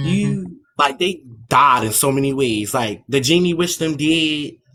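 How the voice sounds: Speaking with a Baltimore accent, a man uses a fairly high pitch and lively intonation. His pace is fairly slow. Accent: Baltimore regional twang.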